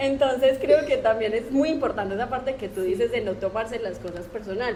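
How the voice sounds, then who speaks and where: Amid noticeable background noise and audible room echo, a woman talks at a fairly quick pace in an Antioquian accent with ordinary pitch variation. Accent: paisa Colombian. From Colombia, Antioquia (paisa). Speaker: software developer and online course instructor. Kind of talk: podcast interview.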